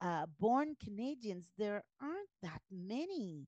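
A woman at a very slow pace, with very wide pitch swings and a dry, close sound with no echo. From Guyana. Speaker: pastor. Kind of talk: interview.

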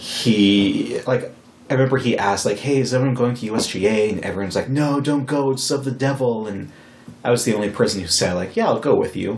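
Over noticeable background noise and audible room echo, a man talks at a fairly quick pace with a medium pitch and ordinary pitch variation. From Wyoming. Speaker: podcast host. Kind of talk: casual chat.

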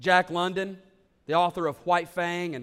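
A man's high-pitched voice. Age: 30s. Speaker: pastor. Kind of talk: sermon. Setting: church.

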